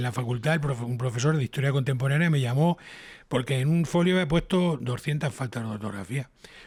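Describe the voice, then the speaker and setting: A man's somewhat breathy voice at a medium pitch. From Spain, Toledo. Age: 60s. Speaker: TV scriptwriter and radio broadcaster. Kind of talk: casual interview chat. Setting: home.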